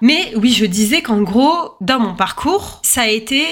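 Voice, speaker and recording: A woman with a fairly high pitch at a fairly slow pace, over noticeable background noise. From French suburbs (banlieue). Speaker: podcast host. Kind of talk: casual monologue. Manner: hesitant, many fillers.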